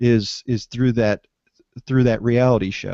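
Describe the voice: Reading aloud plainly, the speaker keeps a fairly even intonation over a quiet background.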